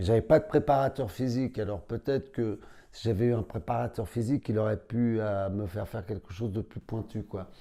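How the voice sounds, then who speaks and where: A man's dark, mellow voice at medium pitch, fairly quick, with ordinary pitch variation, in a very clean recording with a silent background. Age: 60s. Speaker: karate champion and instructor. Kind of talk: interview. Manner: casual.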